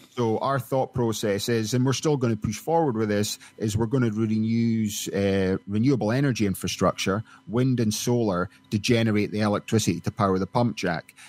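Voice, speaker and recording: A man with a Scottish accent speaks at a fairly quick pace with hardly any pauses, his pitch medium and varying an ordinary amount. His loudness is very even, and the sound is dry and close with no echo. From Scotland. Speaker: oil and gas company executive. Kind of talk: interview.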